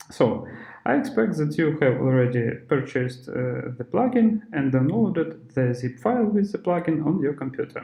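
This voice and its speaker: Pitch swings very widely in this non-native accent, heard over noticeable background noise. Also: man, fairly high pitch for a man. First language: not English. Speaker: software developer / tutorial presenter. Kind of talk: tutorial. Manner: slow; halting, many filler sounds.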